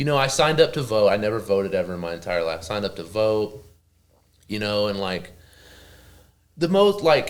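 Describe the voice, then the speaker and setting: A man speaks with a strong Oklahoma accent at a fairly low pitch. He leaves long, frequent pauses. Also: lively intonation, fairly quick pace. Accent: thick Oklahoma. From Oklahoma, small town. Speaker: professional wrestler. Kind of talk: casual interview chat. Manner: casual, filler-heavy.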